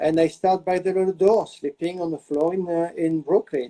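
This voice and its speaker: Speaking in a French accent, a man has a dark, mellow tone. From France, small village. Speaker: celebrity hairstylist and salon owner. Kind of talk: interview. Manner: halting, many fillers.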